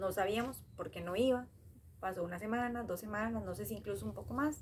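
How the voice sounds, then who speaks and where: In a Costa Rican accent, a woman talks at a fairly quick pace with vocal fry, her medium pitch moving in very wide swings. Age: 30s. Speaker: storyteller sharing a personal memory. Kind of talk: personal storytelling. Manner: hesitant, many fillers.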